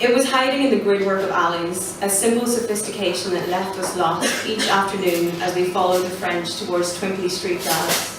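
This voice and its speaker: With an Irish accent, the speaker talks at a moderate pace with fairly even intonation, over noticeable background noise and audible room echo. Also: woman. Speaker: poet. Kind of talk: poetry reading. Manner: quiet.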